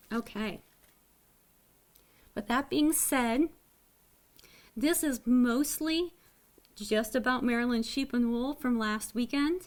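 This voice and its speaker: On a very clean recording with a silent background, a high-pitched woman speaks at a very slow pace with long, frequent pauses. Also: ordinary pitch variation. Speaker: knitting podcaster. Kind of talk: casual video podcast chat. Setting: home webcam recording. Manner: less animated than usual.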